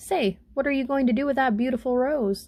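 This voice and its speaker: Using a put-on character voice, a woman sounds whiny at a high pitch with ordinary pitch variation. She moves at a fairly quick pace, keeping her loudness very even. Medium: read story. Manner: fretful, whiny.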